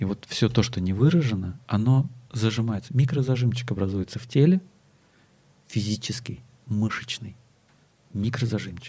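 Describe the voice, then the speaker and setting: A man speaks at a medium pitch and moderate pace, with ordinary pitch variation and long, frequent pauses. His tone is dark and mellow, and somewhat breathy. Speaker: body-oriented psychotherapist. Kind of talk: interview conversation.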